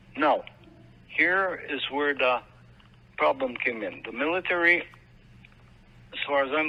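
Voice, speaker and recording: With a Manitoba accent, a man speaks at a moderate pace in a fairly high voice with ordinary pitch variation, leaving long, frequent pauses. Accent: Canadian, Manitoba. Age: 70s. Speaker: military veteran. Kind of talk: interview. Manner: halting.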